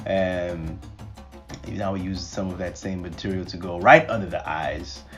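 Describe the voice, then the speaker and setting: With music in the background, a man with a very deep, low pitch speaks at a fairly slow pace. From Nigeria. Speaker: guest voiceover narrator. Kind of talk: humorous makeup tutorial voiceover. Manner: animated, playful.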